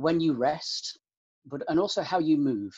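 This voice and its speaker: A man speaks with a British accent over a quiet background. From UK, countryside. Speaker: university student life officer. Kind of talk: interview. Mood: calm, thoughtful. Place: home room. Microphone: webcam.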